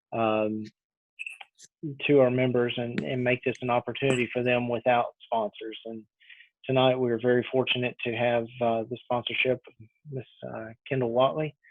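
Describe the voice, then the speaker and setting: In a Texas accent, a man with a medium pitch talks at a moderate pace in a monotone, flat intonation, with long, frequent pauses. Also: big swings in loudness. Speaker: association webinar host. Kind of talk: webinar introduction. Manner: halting, many fillers.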